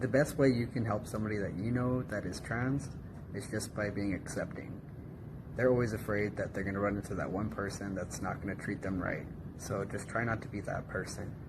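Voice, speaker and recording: Speaking fast-ish with fairly even intonation, a man with a fairly low pitch and an American accent is heard with audible room echo. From United States. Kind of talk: interview answers.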